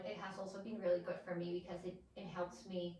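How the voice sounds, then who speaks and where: A woman with a Spanish accent at a moderate pace, over noticeable background noise. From Mexico. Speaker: podcast co-host. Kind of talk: casual chat.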